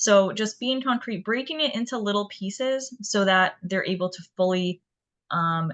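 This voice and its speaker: Over a quiet background, a woman with an unremarkable speaking voice talks at a moderate pace and medium pitch, with ordinary pitch variation. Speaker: community outreach specialist giving a talk. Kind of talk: educational presentation.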